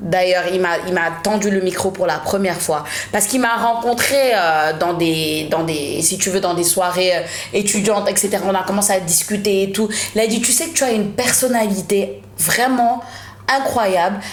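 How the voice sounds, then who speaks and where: A woman at medium pitch and moderate pace, with ordinary pitch variation and very even loudness, amid noticeable background noise and audible room echo. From Senegal. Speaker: media presenter. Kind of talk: podcast interview, casual chat.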